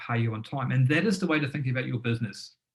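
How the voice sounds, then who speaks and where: A man talks at a very fast pace. His medium-pitched voice is somewhat breathy. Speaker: business founder and former tradesman giving a webinar. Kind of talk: webinar presentation. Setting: live online webinar. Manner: animated.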